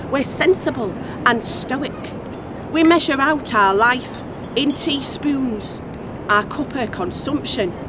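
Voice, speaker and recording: Lively intonation from a woman with a high pitch at a fairly slow pace, set against noticeable background noise. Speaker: performance poet. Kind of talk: poetry reading.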